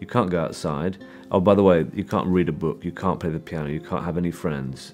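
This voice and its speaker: The man's pitch is very deep and low, and his pace is very fast. Faint music plays in the background. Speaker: film director. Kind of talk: interview answer. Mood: thoughtful, engaged. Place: studio.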